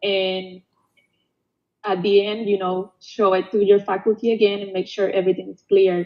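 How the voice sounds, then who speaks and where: A woman with a Spanish accent talks at a moderate pace and medium pitch, her intonation monotone and flat while her loudness swings widely. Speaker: past student award winner. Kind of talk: panel Q&A webinar. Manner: halting.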